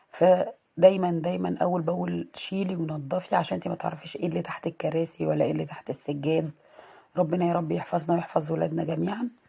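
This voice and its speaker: A woman with an Egyptian accent at a fairly quick pace. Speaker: home vlogger, mother. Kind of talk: casual vlog narration. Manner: casual, conversational.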